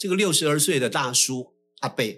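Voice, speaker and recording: The speaker is a man with lively intonation. His pace is moderate. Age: 60s. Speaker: podcast co-host. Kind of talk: casual chat. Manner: animated.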